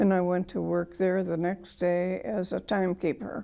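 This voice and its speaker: Speaking at a fairly slow pace, a woman with a Midwestern American accent has a medium pitch and a dark, mellow tone. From US Midwest, Michigan. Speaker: war veteran. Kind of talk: oral history interview. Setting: museum.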